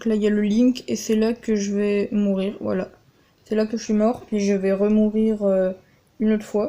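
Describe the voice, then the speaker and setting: Her delivery keeps a moderate pace. The woman's intonation remains monotone and flat throughout. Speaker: gaming youtuber. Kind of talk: gameplay commentary. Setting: voice-over on game footage, game sound cut. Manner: hesitant, many filler words.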